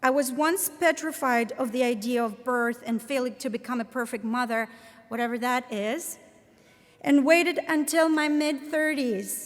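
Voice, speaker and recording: With a Latvian accent, a woman speaks at a fairly slow pace. Her pitch is high, with ordinary pitch variation. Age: 30s. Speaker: professor. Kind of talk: commencement speech. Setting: stage with audience.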